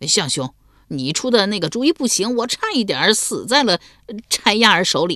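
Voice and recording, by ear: A put-on character voice, fairly high in pitch, at a moderate pace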